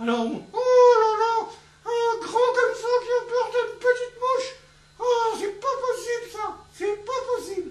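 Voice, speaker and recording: A cartoonish character voice at an extremely high pitch, flat and monotone, with long, frequent pauses. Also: moderate pace. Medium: puppet.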